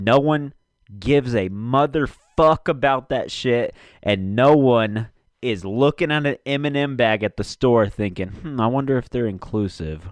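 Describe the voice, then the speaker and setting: A man's medium-pitched voice at a fairly slow pace, with ordinary pitch variation over a quiet background. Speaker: solo podcast host. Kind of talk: casual chat. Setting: home basement recording. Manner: casual, profanity-laden; fluctuating volume.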